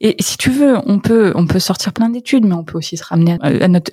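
Over noticeable background noise, a woman talks at a very fast pace with medium pitch and ordinary variation, her sound dry and close with no echo. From northern France, near Paris (Creil, Oise). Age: 30s. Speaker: startup founder and CEO. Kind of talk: interview.

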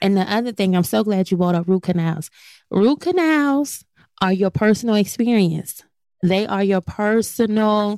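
On a very clean recording with a silent background, a woman with a plain, everyday voice talks at a fairly slow pace and medium pitch, with ordinary pitch variation. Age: 40s. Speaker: dentist. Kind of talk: casual podcast discussion.

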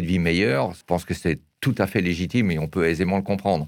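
A man talking, very clean recording, silent background. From Alsace, France. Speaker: wine merchant. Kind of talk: interview. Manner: hesitant, frequent fillers.

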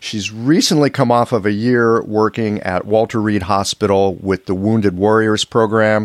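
Fairly slow and fairly low in pitch, a man with an unremarkable speaking voice keeps fairly even intonation, the sound dry and close with no echo on a very clean recording with a silent background. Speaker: podcast host and acupuncturist. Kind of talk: interview conversation.

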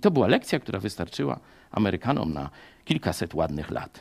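A man with vocal fry and very wide pitch swings at a fairly quick pace, on a very clean recording with a silent background. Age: 50s. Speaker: pastor. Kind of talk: sermon.

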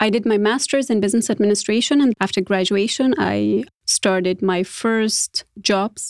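Recorded with a dry, close sound and no echo, a woman with a non-native accent speaks at a medium pitch. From Afghanistan. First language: not English. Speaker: former government official. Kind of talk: interview.

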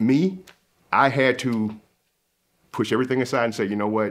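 In a very clean recording with a silent background, a man with a Southern US accent speaks at a medium pitch. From US South. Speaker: salesman. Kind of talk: casual conversation.

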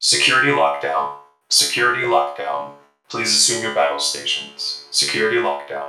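A put-on character voice from a man, robotic and very deep in pitch, monotone and flat, at a moderate pace, with slight echo. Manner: flat, urgent announcement.

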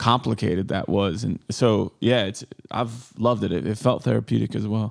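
A plain, everyday voice from a man, fairly low in pitch, with ordinary pitch variation at a fairly quick pace against a quiet background. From Northern Illinois. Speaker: comedian. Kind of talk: casual chat.

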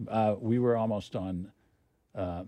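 With an American accent, a man speaks in a dark, mellow tone and fairly even intonation, the sound dry and close with no echo. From Oklahoma City. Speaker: film executive. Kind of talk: interview.

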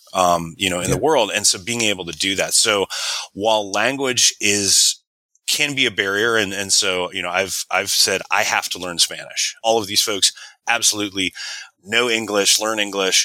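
At a moderate pace, a man speaks in a plain, everyday voice with a fairly low pitch and fairly even intonation. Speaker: marketing executive. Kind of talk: casual interview.

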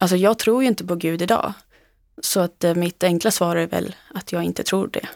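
A woman with a plain, everyday voice speaks at a moderate pace and fairly low pitch, with fairly even intonation. The recording is very clean with a silent background, the sound dry and close with no echo. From Sweden, Uppland (Knutby). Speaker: author. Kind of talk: interview testimony. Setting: studio.

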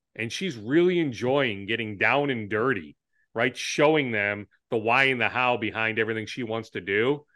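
With an American accent, a man speaks at a medium pitch and a moderate pace in a bright, sharp tone. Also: ordinary pitch variation. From Minnesota, Twin Cities. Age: 40s. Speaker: sports reporter and TV anchor. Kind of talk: casual interview.

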